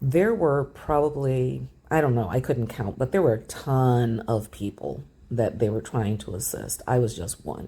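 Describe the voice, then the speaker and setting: Talking at a fairly slow pace, a woman with a very deep, low pitch and a dark, mellow tone uses lively intonation marked by vocal fry. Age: 60s. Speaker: travel vlogger. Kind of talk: casual storytelling.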